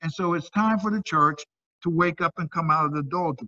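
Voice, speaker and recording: A man with a high-pitched voice and ordinary pitch variation, recorded dry and close with no echo. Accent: American. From Ohio, US Midwest. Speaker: pastor. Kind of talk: sermon. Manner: animated.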